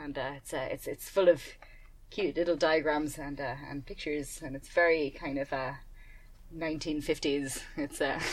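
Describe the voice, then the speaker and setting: A woman speaks at a fairly slow pace with a very deep, low pitch and monotone, flat intonation. Her loudness swings widely. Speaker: podcast co-host and astronomer. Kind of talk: casual chat.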